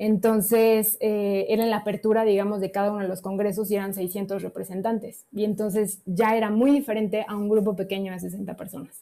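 A woman speaks fairly quickly at a medium pitch with monotone, flat intonation and hardly any pauses. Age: 30s. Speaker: medical doctor. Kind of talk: testimony.

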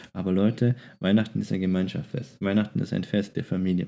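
Recorded very cleanly against a silent background, a man speaks with a very deep, low pitch, a dark, mellow tone and ordinary pitch variation. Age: 20s. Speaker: podcast co-host. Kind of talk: casual chat.

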